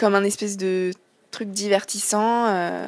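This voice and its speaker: A woman talks at a medium pitch with fairly even intonation. The sound is dry and close, with no echo. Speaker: singer-songwriter. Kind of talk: interview. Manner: hesitant, many fillers.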